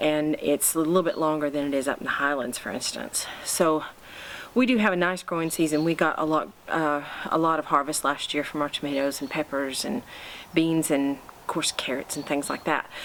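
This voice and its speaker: Over noticeable background noise, someone with an American accent talks at a fairly quick pace. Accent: American with slight Scottish twang. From United States. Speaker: home gardening vlogger. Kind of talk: casual vlog talk to camera. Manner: hesitant, many fillers.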